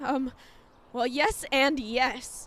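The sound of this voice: In a put-on character voice, a woman speaks at a very slow pace with a high pitch and a fairly bright tone. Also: fairly even intonation.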